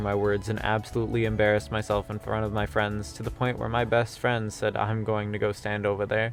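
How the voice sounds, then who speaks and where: With music in the background, a man rattles along very fast with hardly any pauses in a fairly low, monotone, flat voice. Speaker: VTuber / streamer. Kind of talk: scripted commentary video narration. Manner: sardonic, casual.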